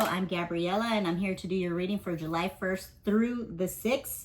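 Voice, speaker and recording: Noticeable background noise sits behind a woman's voice. She talks at a medium pitch and moderate pace, with ordinary pitch variation. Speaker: tarot reader. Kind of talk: casual tarot reading. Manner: casual, filler-heavy.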